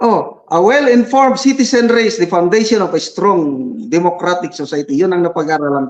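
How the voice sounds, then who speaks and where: With very wide pitch swings and hardly any pauses, a man speaks at a high pitch and a moderate pace. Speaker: retired military general and vlogger. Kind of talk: live-streamed interview.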